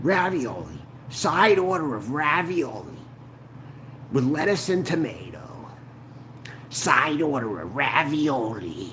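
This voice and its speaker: Putting on a cartoonish character voice, a man with a fairly high pitch speaks at a fairly slow pace with long, frequent pauses against clear background noise. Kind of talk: exaggerated cartoonish voice.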